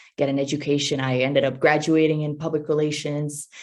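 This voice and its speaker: Intonation is flat and monotone. The speaking pace is moderate. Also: woman. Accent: American. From Italy, near Rome. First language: Italian. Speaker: R&B singer-songwriter. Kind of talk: interview. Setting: virtual summit interview.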